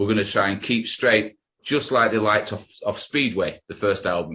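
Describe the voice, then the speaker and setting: A man with a regional English accent, fairly low in pitch, at a moderate pace, with ordinary pitch variation. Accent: broad regional English. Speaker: rock musician. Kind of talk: interview.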